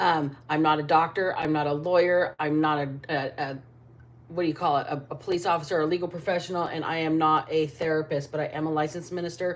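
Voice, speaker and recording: A woman's very deep, low voice in a flat monotone at a very fast pace. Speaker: tarot reader. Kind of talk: live tarot reading. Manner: loud.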